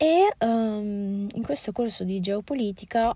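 Very slowly, a woman speaks in a dark, mellow tone at medium pitch. The recording is very clean, with a silent background. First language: Moroccan Arabic (Darija) (speaking Italian). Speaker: podcaster. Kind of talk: casual monologue. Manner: hesitant, many fillers.

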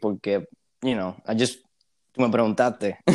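Dark, mellow tone and monotone, flat intonation, on a very clean recording with a silent background. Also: man. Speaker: university student. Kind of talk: casual chat.

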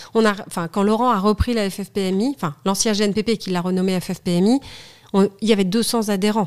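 Recorded very cleanly against a silent background, a woman speaks at medium pitch. Her pace is moderate and her intonation fairly even. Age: 40s. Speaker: studio photographer and federation president. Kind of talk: casual interview chat. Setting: in person, same room as host.

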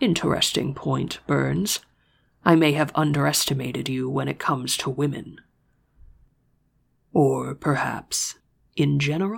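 A man puts on a character voice, husky and fairly high in pitch. He talks at a moderate pace with long, frequent pauses. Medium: read story. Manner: smug, suggestive.

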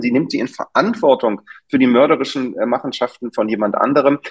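His pitch is fairly high and varies in an ordinary way. The man keeps to a moderate pace. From Germany, Berlin. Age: middle-aged. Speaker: doctor. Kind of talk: interview. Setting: video call. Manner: animated.

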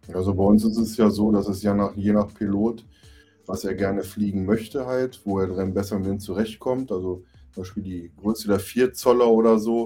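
A man talks at a moderate pace with a fairly low pitch and fairly even intonation. Music plays in the background. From near Braunschweig, Lower Saxony, Germany. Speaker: FPV drone racing pilot. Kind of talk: casual chat.

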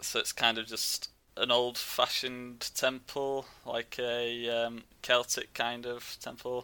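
Speaking with a Yorkshire accent, a man keeps to a medium pitch and a bright, sharp tone. His pace is very slow, with hardly any pauses and a monotone, flat intonation. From West Yorkshire. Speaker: travel blogger. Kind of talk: casual chat.

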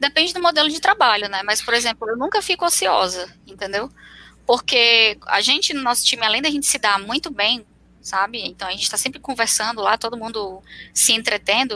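Her tone is bright and sharp, pitched fairly high for a woman. She speaks at a fairly quick pace with lively intonation. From Fortaleza, northeastern Brazil. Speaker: software engineer. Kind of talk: casual chat. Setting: live video stream.

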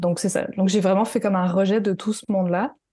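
A woman's fairly even intonation sits at a medium pitch, her tone dark and mellow. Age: 30s. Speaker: artisan and web designer for entrepreneurs. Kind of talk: interview.

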